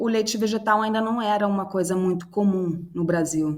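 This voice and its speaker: Audible room echo surrounds this voice. The woman's pitch is in the medium range. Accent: Swedish. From Sweden. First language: Swedish (speaking Portuguese). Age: 30s. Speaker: startup cofounder. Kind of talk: interview. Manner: halting, with many fillers and repetitions.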